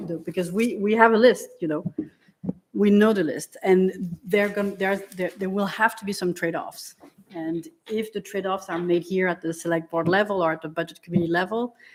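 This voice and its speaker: A woman speaks at medium pitch with a French accent. Her pace is fairly quick and her intonation fairly even. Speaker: select board member. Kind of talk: public meeting discussion. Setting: town meeting room, broadcast.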